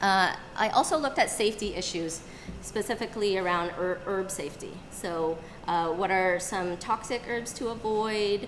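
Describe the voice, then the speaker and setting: A woman speaks in a normal speaking voice at a medium pitch and moderate pace, with ordinary pitch variation. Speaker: acupuncturist and herbalist presenting to a group. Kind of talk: live presentation. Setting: room with live audience.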